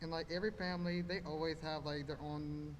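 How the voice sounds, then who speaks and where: Through noticeable background noise and audible room echo, a man speaks in a monotone, flat intonation at a fairly high pitch. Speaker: student speaking at student government meeting. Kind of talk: public comment. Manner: halting, fillers.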